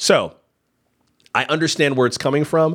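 A man talks at a moderate pace. His voice has vocal fry. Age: 40s. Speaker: podcast host. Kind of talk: casual commentary livestream. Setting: livestream.

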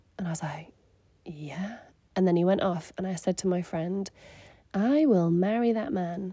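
Her tone dark and mellow, a woman with a southern English accent talks at a moderate pace in a medium pitch with lively intonation. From southern England (Surrey). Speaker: podcast host, mother and church leader. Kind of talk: casual chat.

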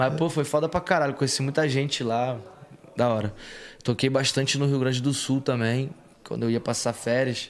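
A man at a medium pitch and moderate pace with fairly even intonation, in a normal speaking voice. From Rio de Janeiro, Brazil. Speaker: rap singer. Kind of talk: casual interview chat.

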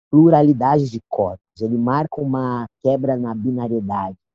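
A man's voice, dark and mellow at a medium pitch, comes through with a dry, close sound with no echo. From São Paulo South Zone. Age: 20s. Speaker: poet and cultural producer. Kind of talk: casual interview.

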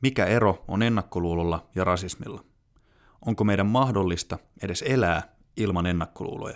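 Moderate pace, ordinary pitch variation and long, frequent pauses on a very clean recording with a silent background. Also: man. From Finland. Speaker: podcast host. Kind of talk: scripted narration. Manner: formal.

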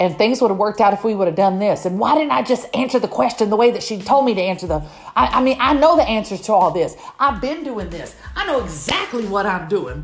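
Amid noticeable background noise, a woman with an American accent talks fairly quickly in an animated tone, her fairly high voice swinging very widely in pitch. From US South, Southeast Houston, Texas. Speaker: podcast host, recovery mentor. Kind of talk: motivational monologue.

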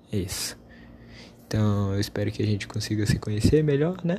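This man's voice sits fairly low, with a dark, mellow tone. It is somewhat breathy, with ordinary pitch variation. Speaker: podcast host. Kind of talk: casual monologue.

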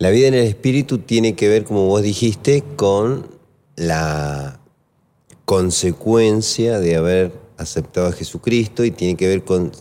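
A man with a dark, mellow tone speaks at a fairly slow pace, his intonation lively and his loudness very even. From Argentina, Mendoza (Maipú). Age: 40s. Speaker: pastor. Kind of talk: casual chat about Bible teaching.

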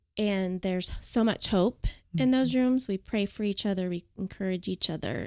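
With an American accent and a normal speaking voice, a woman talks at a moderate pace and medium pitch, her intonation lively, on a very clean recording with a silent background. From Oklahoma. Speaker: podcast guest. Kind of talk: testimony.

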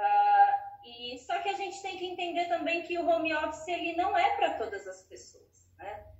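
Speaking at a moderate pace with hardly any pauses, a woman uses an extremely high pitch, very wide pitch swings and big swings in loudness. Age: 30s. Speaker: psychologist. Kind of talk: interview.

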